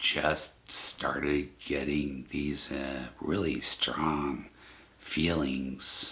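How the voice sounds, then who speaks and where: A man speaks with a very deep, low pitch. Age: 60s. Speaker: psychic channel host. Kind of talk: casual monologue to camera. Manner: halting, many fillers.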